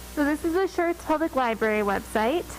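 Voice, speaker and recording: Music plays in the background as a woman talks with lively intonation. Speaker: librarian. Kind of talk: presentation. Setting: council meeting. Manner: loud; animated.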